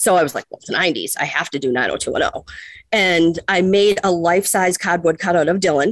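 In a normal speaking voice, a woman keeps a medium pitch, a moderate pace and ordinary pitch variation. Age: 40s. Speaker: fan caller. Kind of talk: casual chat.

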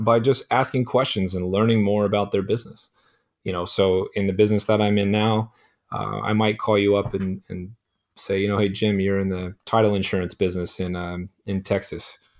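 This man has a fairly low pitch and an unremarkable speaking voice. He speaks at a fairly quick pace with fairly even intonation. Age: 40s. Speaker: sales executive. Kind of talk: interview.

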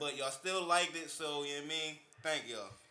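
The man has a fairly high pitch, a bright, sharp tone and ordinary pitch variation. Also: moderate pace.

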